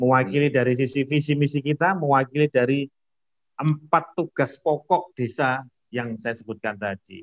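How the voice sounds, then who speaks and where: A man with a fairly high pitch has an unremarkable speaking voice and ordinary pitch variation. He speaks at a moderate pace, and the sound is dry and close with no echo. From Indonesia, Lamongan, East Java. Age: 40s. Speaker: village head. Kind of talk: casual interview.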